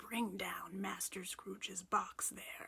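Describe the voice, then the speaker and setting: A whispering, female-sounding put-on character voice at a very slow pace. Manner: booming, commanding.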